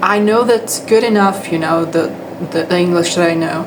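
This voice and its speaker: A woman with a fairly low pitch is heard with audible room echo and noticeable background noise. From Brazil. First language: Portuguese. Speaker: English teacher. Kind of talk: casual vlog monologue. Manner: halting, many fillers and restarts.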